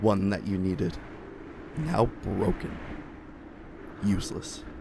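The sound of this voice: A man's put-on character voice, low-pitched and slow, with lively intonation and vocal fry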